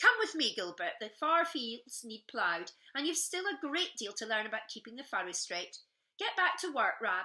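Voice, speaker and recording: A woman's gruff put-on character voice in a Scottish accent, fairly high in pitch, with very wide pitch swings, big swings in loudness and a moderate pace. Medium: read story. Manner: gruff, stern.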